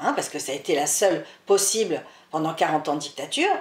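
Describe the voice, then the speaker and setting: A woman with a Spanish accent speaks at a moderate pace. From France, daughter of Spanish immigrants. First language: Spanish (speaking French). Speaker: author and historian. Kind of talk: interview.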